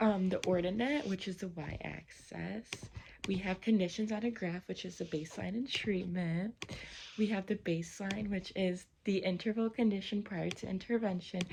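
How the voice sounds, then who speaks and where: Her pitch varying in an ordinary way, a woman talks with a somewhat breathy voice. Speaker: college student. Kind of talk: study review presentation.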